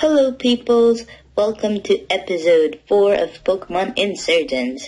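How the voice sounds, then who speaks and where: A put-on character voice with a fairly high pitch. It moves at a moderate pace. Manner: excited YouTuber greeting.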